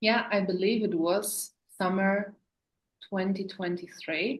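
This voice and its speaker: Speaking at a very slow pace, a woman talks with a German accent. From Germany, Berlin. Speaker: sewing business owner. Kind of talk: casual chat.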